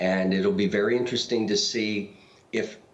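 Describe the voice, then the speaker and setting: A man's pitch swings very widely, with audible room echo around him. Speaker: political analyst. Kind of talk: TV interview. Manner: hesitant, with stammering.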